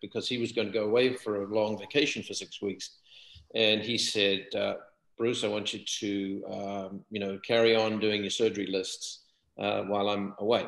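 There is audible room echo around this man's voice. He talks at a fairly low pitch and a moderate pace. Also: quiet background. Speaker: surgeon; guest. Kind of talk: interview conversation. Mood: calm, reflective. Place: home room. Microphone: webcam.

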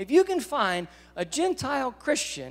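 Speaking in an American accent, a man lets his pitch swing very widely. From US South. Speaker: guest preacher. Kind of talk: sermon. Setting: church. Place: church. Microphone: handheld.

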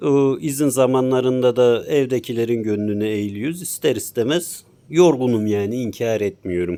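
A man speaks at medium pitch with a dark, mellow tone and ordinary pitch variation. His pace is moderate, with hardly any pauses. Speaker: motorcycle gear reviewer. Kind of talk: product review.

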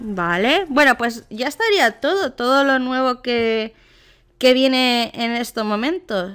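Her tone is animated and her pitch is high. This woman's pitch varies an ordinary amount. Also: very clean recording, silent background. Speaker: gaming youtuber. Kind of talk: casual gameplay commentary.

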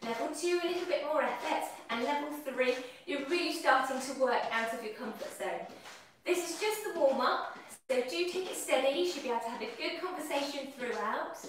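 Over light background noise and strong room echo, a woman talks in a high pitch with ordinary pitch variation. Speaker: fitness instructor. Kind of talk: exercise class instruction. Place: kitchen. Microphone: camera far.

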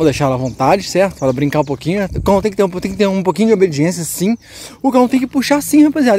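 Very fast and animated, a man's voice leaps through very wide pitch swings, recorded dry with no echo over light background noise. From Minas Gerais, Brazil. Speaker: dog breeder and kennel owner. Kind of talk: casual vlog with dog training. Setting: outdoors. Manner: loud commands to dog. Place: open country. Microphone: phone near.

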